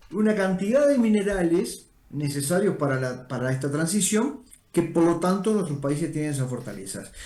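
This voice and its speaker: With a Rioplatense accent, this voice has a dark, mellow tone and very wide pitch swings. The pace is moderate, and room echo is audible. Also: man, high pitch for a man. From Uruguay. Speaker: energy organization director. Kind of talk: interview.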